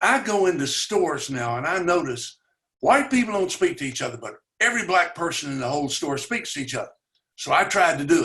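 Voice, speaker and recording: A man with a Tennessee accent talks at a fairly quick pace in a high pitch. His tone is bright and sharp, with very wide pitch swings. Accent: Southern US (Tennessee). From US South, Chattanooga, Tennessee. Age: 80s+. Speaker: community organizer, racial equality advocate. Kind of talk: conversational webinar talk. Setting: webinar.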